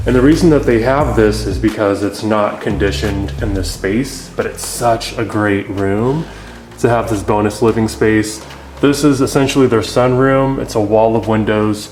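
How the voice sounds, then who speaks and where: A man with an American accent speaks at a moderate pace in a fairly low pitch, with ordinary pitch variation. Music plays in the background, and the room echo is audible. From US Midwest, Kansas City. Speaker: home renovator and house flipper. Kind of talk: house tour walkthrough. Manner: casual, filler-heavy.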